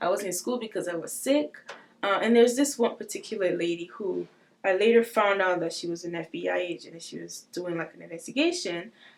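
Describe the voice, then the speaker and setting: A woman talks at a medium pitch with lively intonation. Vocal fry shows up in her voice. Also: fairly quick pace, big swings in loudness. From West Africa, Togo. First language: not English. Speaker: trafficking survivor. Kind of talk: testimony. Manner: hesitant, many fillers.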